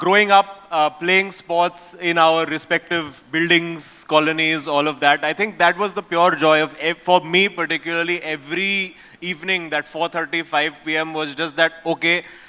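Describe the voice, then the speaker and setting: Over noticeable background noise, a high-pitched man talks in a flat monotone with hardly any pauses. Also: moderate pace. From India. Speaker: event panelist. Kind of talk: panel discussion.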